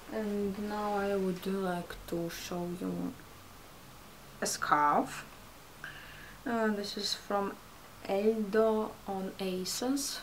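A woman speaks very slowly with a non-native accent and fairly even intonation. Light background noise can be heard. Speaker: fashion vlogger. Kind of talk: casual haul video talk to camera. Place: home room. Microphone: camera far.

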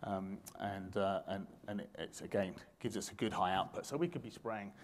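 An unremarkable speaking voice from a man, fairly low in pitch and fairly quick, over light background noise. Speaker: conference presenter. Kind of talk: lecture. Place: hall.

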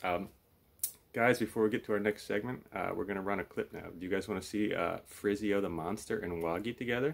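Vocal fry runs through this man's fairly low voice. His pitch varies in an ordinary way. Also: fairly quick pace.

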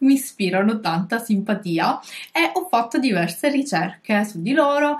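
A woman's voice rises and falls in very wide pitch swings. The background is quiet. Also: moderate pace. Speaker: pet vlogger. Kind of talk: casual vlog chat. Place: home room.

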